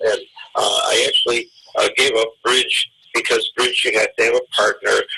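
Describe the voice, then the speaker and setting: This man uses a raised, projected voice with a bright, sharp tone. He keeps a moderate pace and ordinary pitch variation. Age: 70s. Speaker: backgammon teacher. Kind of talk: interview. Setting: podcast interview.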